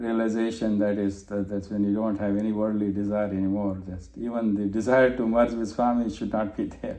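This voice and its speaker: With audible room echo, the voice has a dark, mellow tone and a monotone, flat intonation at a fairly quick pace. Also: man, fairly low pitch for a man, hardly any pauses. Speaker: spiritual study circle leader. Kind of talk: group discussion presentation. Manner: halting, many fillers. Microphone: muffled.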